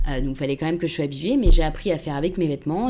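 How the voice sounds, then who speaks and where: A woman talks at a fairly low pitch over noticeable background noise. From Paris suburbs, France. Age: 20s. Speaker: communications agency worker. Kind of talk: casual interview. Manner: hesitant, many fillers.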